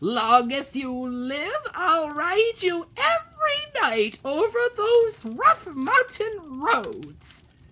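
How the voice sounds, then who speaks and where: Cackling at a very slow pace, a put-on character voice sits at an extremely high pitch with very wide pitch swings. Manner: cackling, threatening.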